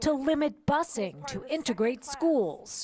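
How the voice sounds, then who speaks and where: Noticeable background noise runs beneath a woman's speech. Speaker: TV news reporter. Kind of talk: TV news field report.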